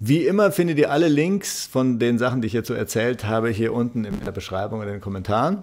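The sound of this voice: A man talks fast at medium pitch with ordinary pitch variation. His tone is slightly mellow.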